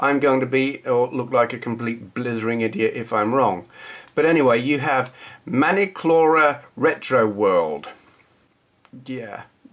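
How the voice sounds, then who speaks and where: In a southern English accent, the speaker moves at a fairly slow pace with lively intonation. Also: man, medium pitch for a man. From southern England. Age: 40s. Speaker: retro gaming youtuber. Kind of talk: casual vlog chat. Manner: casual, hesitant with fillers.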